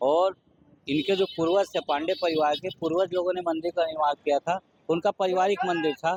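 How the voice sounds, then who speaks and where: Keeping a very even loudness, a man with a high pitch speaks at a moderate pace with fairly even intonation. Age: 60s. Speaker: local temple devotee. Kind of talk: news interview.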